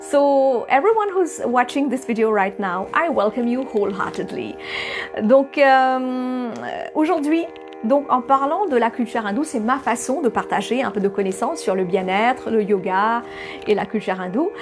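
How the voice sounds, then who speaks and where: With music in the background, a woman with a non-native accent speaks at a fairly slow pace, her fairly high voice carrying lively intonation. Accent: non-native accent in French and English. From Mauritius. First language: Bhojpuri (speaking French). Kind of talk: spiritual talk to camera. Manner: hesitant, many fillers.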